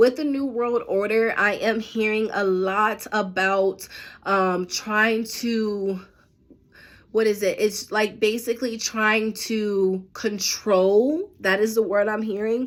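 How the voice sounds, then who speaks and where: A woman with a fairly high pitch, fairly even intonation and a very slow pace. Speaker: psychic medium. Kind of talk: predictions monologue to members. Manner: hesitant, many fillers.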